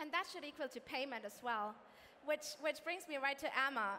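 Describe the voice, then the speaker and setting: Over light background noise, a woman speaks in a raised, projected voice at a fairly quick pace. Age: young. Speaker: panel moderator. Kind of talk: panel discussion. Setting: stage with audience. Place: stage. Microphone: headset.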